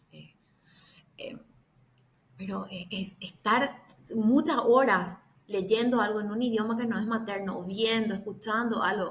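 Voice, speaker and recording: Speaking in a Paraguayan accent, a woman uses a fairly high pitch and fairly even intonation. She goes at a fairly slow pace with long, frequent pauses and big swings in loudness. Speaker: bitcoin educator. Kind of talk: casual chat.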